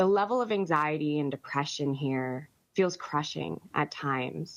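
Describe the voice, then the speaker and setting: A woman with a very deep, low pitch, lively intonation and a fairly slow pace. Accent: American. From United States. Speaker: economic policy expert. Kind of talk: webinar presentation. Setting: webinar.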